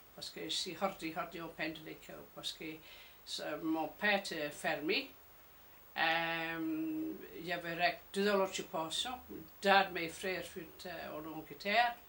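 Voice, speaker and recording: Her bright, sharp tone sits at a fairly low pitch as the woman speaks at a very slow pace, loudness swinging widely and long pauses coming often. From Jersey. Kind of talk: interview answer.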